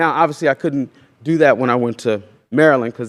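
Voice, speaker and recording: With an American accent, a man talks at a fairly quick pace in a fairly high pitch, with ordinary pitch variation and a dry, close sound with no echo. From Oklahoma. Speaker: farmer and educator. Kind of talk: lecture. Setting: stage with audience. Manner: loud.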